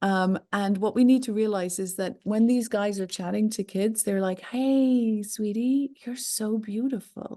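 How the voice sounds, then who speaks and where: Against a quiet background, a woman with an Irish accent speaks fairly slowly with hardly any pauses, using a fairly high pitch, a dark, mellow tone and fairly even intonation. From Ireland. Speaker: online safety expert, company founder. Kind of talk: interview.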